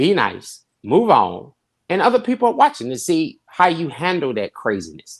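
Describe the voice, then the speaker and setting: Over a quiet background, a man with vocal fry talks at a fairly slow pace, his pitch swinging very widely. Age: 50s. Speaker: pastor. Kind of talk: panel discussion. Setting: podcast. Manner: animated.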